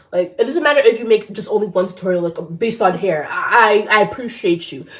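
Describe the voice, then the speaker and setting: The speech runs at a very fast pace. Noticeable background noise sits behind it. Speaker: YouTuber talking about art. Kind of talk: casual vlog rant. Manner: halting, repeats words.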